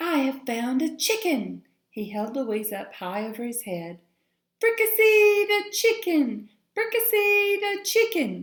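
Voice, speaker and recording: In a put-on character voice, the speaker goes high and squeaky, raised and projected, with very wide pitch swings at a fairly slow pace. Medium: read story. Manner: loud, rough.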